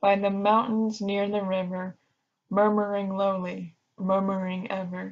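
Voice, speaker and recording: A woman's medium-pitched voice, very slow, in a monotone, flat intonation. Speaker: ASMR artist. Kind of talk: ASMR poetry reading. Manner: soft-spoken, calming.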